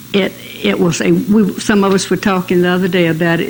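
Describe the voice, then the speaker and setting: Against noticeable background noise, a woman with a South Carolina accent talks at a moderate pace in a fairly low voice. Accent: Southern US (South Carolina). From US South, Mullins, South Carolina. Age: 90s. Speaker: oral history interviewee. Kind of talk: oral history interview.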